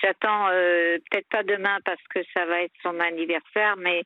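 This woman has a fairly low pitch. She talks at a fairly slow pace. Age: 50s. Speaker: caller with personal problems. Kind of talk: personal testimony on a call-in show. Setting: phone call. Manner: halting.

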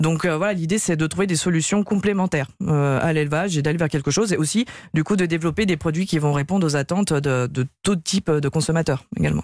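A woman speaks at a fairly low pitch. Her pace is fairly quick. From Lyon region, countryside of the Ain. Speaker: start-up co-founder. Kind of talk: radio interview. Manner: halting, many fillers.

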